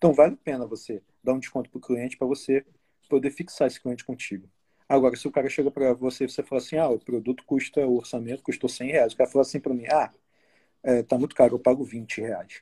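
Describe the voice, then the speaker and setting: Dry and close with no echo, a man's voice carries a dark, mellow tone at a medium pitch. He talks at a very fast pace with fairly even intonation. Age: 30s. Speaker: graphic designer. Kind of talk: casual chat.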